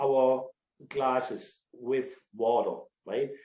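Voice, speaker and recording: This is a man speaking. He has a strong German accent. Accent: thick German. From Germany. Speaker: winery sales director. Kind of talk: casual chat. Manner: halting.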